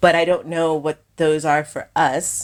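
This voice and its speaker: With an American accent, a woman speaks on a very clean recording with a silent background. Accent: sounds American in some settings. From Kenya. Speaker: filmmaker. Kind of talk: interview conversation.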